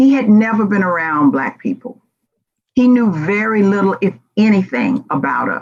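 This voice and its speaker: The speaker has an American accent and a somewhat breathy voice. Delivery comes at a moderate pace with lively intonation. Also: woman, medium pitch for a woman. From US South, Memphis Tennessee. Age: 60s. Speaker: diversity and inclusion speaker. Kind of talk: conference presentation. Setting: virtual conference.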